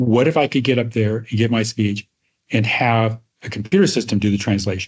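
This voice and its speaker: Somewhat breathy, a man speaks at medium pitch and a moderate pace with fairly even intonation. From Iowa, US Midwest. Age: old. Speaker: retired tech research executive. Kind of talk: interview storytelling.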